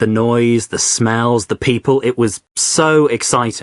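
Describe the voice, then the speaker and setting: A man at a medium pitch with ordinary pitch variation, in a dry, close sound with no echo and a quiet background. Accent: London. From Spain, then London from age 10. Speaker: guest on English-learning podcast, works in family book business. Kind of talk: casual chat. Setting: studio.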